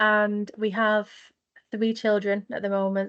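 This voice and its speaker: Speaking at a very slow pace, a woman with a northern English accent has a medium pitch, heard over a quiet background. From northwest England, Manchester. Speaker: mental health nurse, charity founder. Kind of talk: podcast interview.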